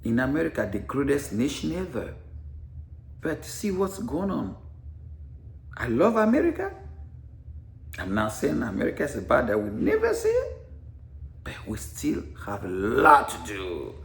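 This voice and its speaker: A man with an African accent, animated and at a moderate pace, with long, frequent pauses and audible room echo. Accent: foreign (African). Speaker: veteran and author, former teacher. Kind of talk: personal vlog monologue. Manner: repetitive, stammering at times.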